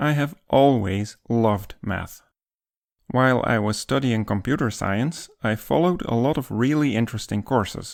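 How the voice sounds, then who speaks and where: A man with a Dutch accent at a medium pitch and moderate pace, with ordinary pitch variation, on a very clean recording with a silent background. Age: 50s. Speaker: math educator YouTuber. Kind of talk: scripted narration.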